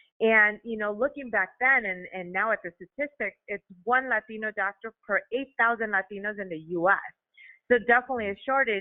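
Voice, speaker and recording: A woman with a Chicago accent talks at a fairly quick pace and a fairly high pitch. Her pitch varies in an ordinary way, while her loudness swings widely. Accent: Chicago American English. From Chicago, US (Mexican-American). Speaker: allergist. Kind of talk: podcast interview.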